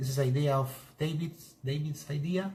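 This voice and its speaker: A man's somewhat breathy, fairly high voice with a Spanish accent, monotone and flat in intonation, at a moderate pace. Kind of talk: live stream demonstration. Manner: halting.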